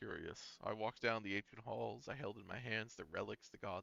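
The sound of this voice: Fairly even intonation marks an unforced reading voice.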